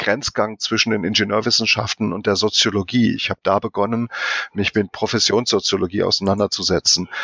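The delivery has monotone, flat intonation in a dry, close sound with no echo. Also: man. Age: 50s. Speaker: quality management expert. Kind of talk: interview. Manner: halting.

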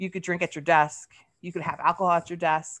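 Against a quiet background, a woman talks in a plain, everyday voice, fairly low in pitch, with ordinary pitch variation. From US East Coast, military family, moved often. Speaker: writer and recovery podcaster. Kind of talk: casual interview.

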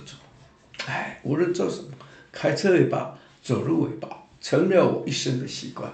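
With noticeable background noise and audible room echo, a man speaks at a fairly slow pace in a fairly high pitch, his intonation lively and his tone animated. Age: 70s. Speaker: church minister. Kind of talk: testimony.

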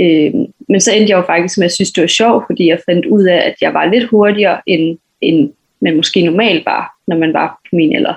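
In a plain, everyday voice, a woman speaks at a moderate pace with a fairly low pitch, ordinary pitch variation and very even loudness. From western Jutland, Denmark (Hvide Sande). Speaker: athlete (sprinter, hurdler). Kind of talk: interview.

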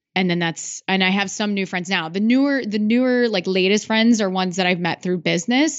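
A woman with an American accent and a plain, everyday voice speaks at medium pitch. She goes at a fairly quick pace with hardly any pauses and ordinary pitch variation. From Iowa. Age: 30s. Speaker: podcaster and business coach. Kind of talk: interview.

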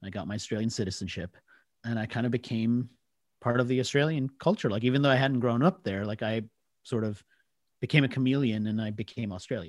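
On a very clean recording with a silent background, a man with an American accent talks at a very fast pace, medium pitch, and ordinary pitch variation. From US, Washington DC area. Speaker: marketing author and trend expert. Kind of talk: interview conversation.

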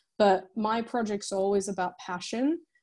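A woman with an American accent has a dark, mellow tone and a medium pitch with ordinary pitch variation. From France. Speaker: filmmaker and editor. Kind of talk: casual interview chat. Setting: remote call from London.

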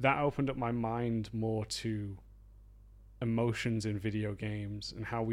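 This man has a Yorkshire accent and a medium pitch. His intonation stays fairly even. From northern England, Harrogate, Yorkshire. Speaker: video game level designer and author. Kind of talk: interview.

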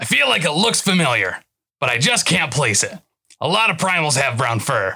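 A raspy, put-on character voice at a moderate pace, with very wide pitch swings and very even loudness. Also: man, fairly high pitch for a man. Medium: audio drama. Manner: thoughtful, musing, helpful.

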